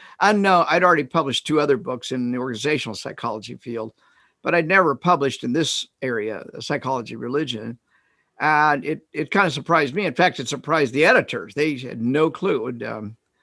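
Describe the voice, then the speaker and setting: A man with a Midwestern US accent talks at a very fast pace with a fairly high pitch and lively intonation. His tone is bright and sharp, on a very clean recording with a silent background. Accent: US Midwest. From Kansas. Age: 70s. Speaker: retired psychologist and author. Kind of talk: interview. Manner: halting.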